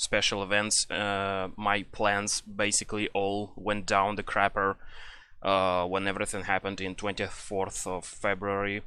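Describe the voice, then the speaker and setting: A man with a Russian accent speaks at a fairly slow pace in a fairly low pitch, his bright, sharp tone held in a flat monotone against a quiet background. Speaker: gaming YouTuber. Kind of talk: casual rant. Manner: halting, many fillers.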